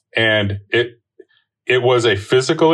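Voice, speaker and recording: A somewhat breathy man talks with ordinary pitch variation. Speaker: racial justice church leader. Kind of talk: panel discussion on current events.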